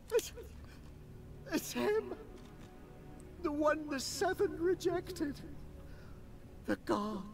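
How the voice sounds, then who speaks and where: Speaking in a put-on character voice at a very slow pace, the speaker leaves long, frequent pauses against clear background noise. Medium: video game. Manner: panicked, stammering.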